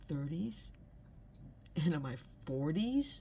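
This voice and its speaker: Very slow and somewhat breathy, a woman speaks at a very deep, low pitch. Her tone is dark and mellow. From Los Angeles, California. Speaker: inspirational video host. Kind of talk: personal reflection monologue. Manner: halting, many repeated words and fillers.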